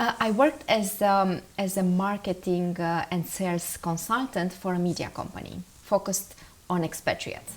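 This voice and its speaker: In a Romanian accent, a woman speaks at a medium pitch. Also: ordinary pitch variation, moderate pace. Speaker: marketing strategist. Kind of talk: interview. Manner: animated.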